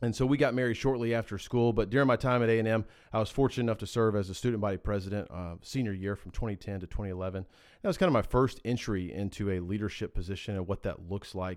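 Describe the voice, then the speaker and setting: Very fast speech from a man with a fairly low pitch, ordinary pitch variation and an American accent, on a very clean recording with a silent background. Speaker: podcast co-host, businessman. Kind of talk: casual podcast chat.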